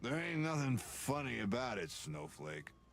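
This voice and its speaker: A man's put-on, raspy character voice at medium pitch and moderate pace, swinging very widely in pitch over clear background noise. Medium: video game. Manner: grumpy, stammering.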